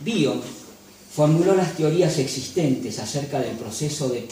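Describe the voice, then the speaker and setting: Speech comes at a fairly slow pace. Noticeable background noise and audible room echo are present. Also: man. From Galicia, Spain. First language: Galician (speaking Spanish). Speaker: lecturer and photographer. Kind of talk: lecture. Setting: cultural association venue with audience. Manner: formal.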